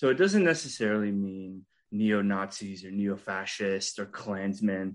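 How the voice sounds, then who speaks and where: In an ordinary speaking voice, a man talks at a fairly slow pace with a fairly low pitch and fairly even intonation. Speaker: podcast interviewer. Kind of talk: interview.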